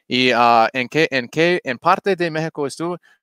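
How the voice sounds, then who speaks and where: A man with an English accent talks at a fairly slow pace with ordinary pitch variation, the sound dry with no echo and the background quiet. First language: English (speaking Spanish). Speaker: crypto YouTuber. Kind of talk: livestream crypto chat. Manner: halting. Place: home room. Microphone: headset.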